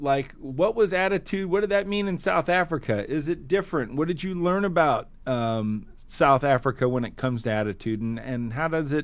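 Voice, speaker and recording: A fairly high-pitched man with very wide pitch swings, over a quiet background. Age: 50s. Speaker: podcast host and keynote speaker. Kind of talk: podcast interview. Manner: animated.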